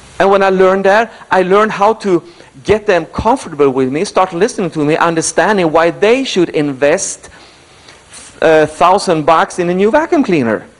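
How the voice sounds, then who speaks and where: A man with a high voice, an animated tone and lively intonation, very even loudness, a moderate pace, and noticeable background noise. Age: 70s. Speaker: motivational speaker. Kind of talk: motivational speech.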